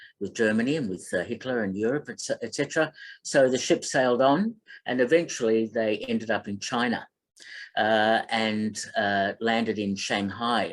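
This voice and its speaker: Speaking in an Australian accent, this man's pitch varies in an ordinary way. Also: medium pitch for a man, moderate pace. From Melbourne, Australia. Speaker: film critic and radio host. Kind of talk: online talk. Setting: online presentation. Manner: halting, many fillers.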